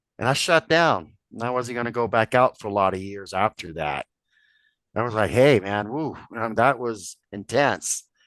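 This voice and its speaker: At a moderate pace, a man with a medium-pitched voice talks with lively intonation in a dry, close sound with no echo and a quiet background. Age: 60s. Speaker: Bigfoot experiencer. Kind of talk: testimony.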